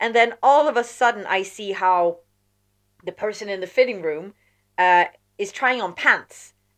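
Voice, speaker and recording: A woman of medium pitch speaks at a moderate pace with long, frequent pauses on a very clean recording with a silent background. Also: ordinary pitch variation. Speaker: podcast co-host. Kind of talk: casual chat. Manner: loud.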